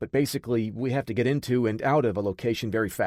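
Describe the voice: The voice is reading aloud. The delivery is plain.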